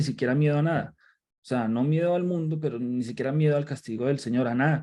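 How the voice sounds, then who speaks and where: With a Colombian accent and a dark, mellow tone, a man talks fairly quickly with ordinary pitch variation. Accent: Colombian accent, noticeable. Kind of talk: Bible study livestream. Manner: halting, frequent repetitions.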